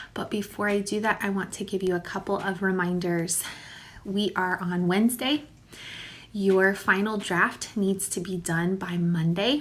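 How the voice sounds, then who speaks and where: This woman talks at a fairly slow pace with a medium pitch. Her intonation is fairly even. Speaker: elementary school teacher. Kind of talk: recorded video lesson for pupils. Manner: informal, warm.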